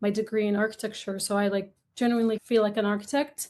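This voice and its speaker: A woman speaks with an Arabic accent and monotone, flat intonation. The background is quiet. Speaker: upcycled clothing brand founder. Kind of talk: podcast interview. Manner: casual, filler-heavy.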